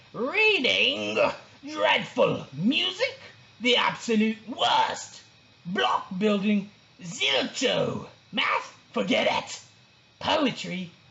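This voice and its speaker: In a put-on character voice with a fairly high pitch, the speaker goes at a very slow pace with long, frequent pauses. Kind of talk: children's story read-aloud.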